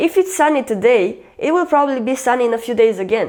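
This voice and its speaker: With a Romanian accent, a woman talks at a moderate pace in a high voice with lively intonation. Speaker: YouTuber. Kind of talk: casual vlog talk.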